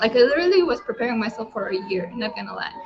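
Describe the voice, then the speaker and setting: Through noticeable background noise, a woman speaks with lively intonation. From Lithuania. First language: Lithuanian. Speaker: entrepreneur. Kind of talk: testimony. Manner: halting.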